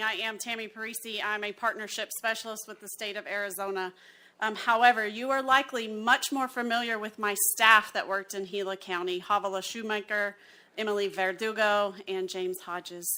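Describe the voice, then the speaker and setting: At a fairly quick pace, a woman talks in a bright, sharp tone with fairly even intonation on a very clean recording with a silent background. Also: fairly high pitch for a woman, big swings in loudness. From Alabama. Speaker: census partnership specialist. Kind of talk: presentation at county meeting.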